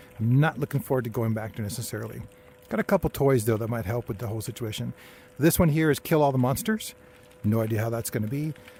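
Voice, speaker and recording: A man's somewhat breathy voice in a dark, mellow tone, at a very fast pace. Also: medium pitch for a man, ordinary pitch variation. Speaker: gaming YouTuber. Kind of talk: gameplay commentary. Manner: low energy.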